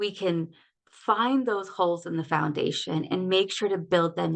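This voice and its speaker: A woman's medium-pitched, unremarkable speaking voice at a moderate pace, with ordinary pitch variation and a quiet background. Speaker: life coach. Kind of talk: online workshop talk. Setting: livestream.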